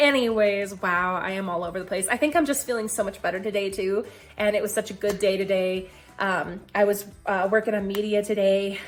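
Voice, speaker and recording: With music in the background, a woman of medium pitch speaks at a fairly quick pace. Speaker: health challenge vlogger. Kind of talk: casual vlog. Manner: fast; animated.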